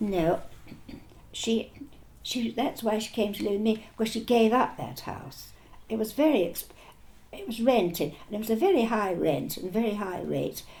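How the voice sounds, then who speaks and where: At a moderate pace, a woman with a fairly high pitch, a dark, mellow tone and vocal fry speaks with lively intonation and long, frequent pauses. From Argentina. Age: old. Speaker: war veteran. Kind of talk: interview answer.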